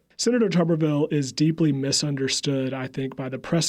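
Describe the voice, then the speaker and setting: On a very clean recording with a silent background, a man with a slight Southern accent talks at a fairly quick pace with fairly even intonation. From US South, upstate South Carolina. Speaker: public relations staffer, former Senate press secretary. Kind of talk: interview.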